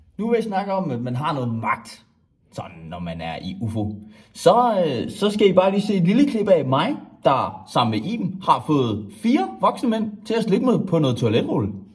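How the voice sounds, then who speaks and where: Cheerful in tone, a man speaks at a high pitch and a moderate pace with very wide pitch swings, and audible room echo can be heard. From Denmark, Skanderborg (East Jutland). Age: 20s. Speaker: student applying for a student committee. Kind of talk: self-presentation video.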